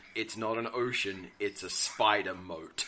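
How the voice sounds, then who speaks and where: In a put-on character voice, a man rumbles along at a fairly low pitch and fairly slow pace over light background noise. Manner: deadpan.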